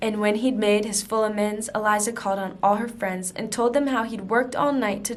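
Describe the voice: Plain reading aloud fills the clip. Its intonation remains fairly even throughout.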